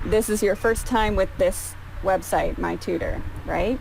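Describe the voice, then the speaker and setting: A woman speaks fairly slowly with noticeable noise behind her. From Canada. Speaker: English tutor. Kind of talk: online tutoring session. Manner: slow, simplified speech for a learner.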